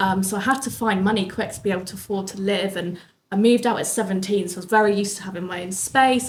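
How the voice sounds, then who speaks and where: A somewhat breathy woman at medium pitch, talking at a very fast pace amid audible room echo. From southern England, Bournemouth. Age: 20s. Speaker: business owner. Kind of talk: interview.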